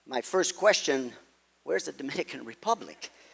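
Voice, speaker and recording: With a Quebec accent, a man speaks at a moderate pace with lively intonation, in a dry, close sound with no echo. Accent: Québécois French-accented English. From Quebec, Montreal. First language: French. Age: 70s. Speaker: golf pro. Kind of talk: talk. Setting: stage with audience.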